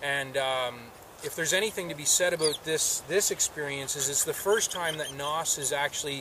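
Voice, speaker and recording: A man's intonation stays fairly even, the sound is dry with no echo, and noticeable background noise sits behind him. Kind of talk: casual explanation to camera. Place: open country.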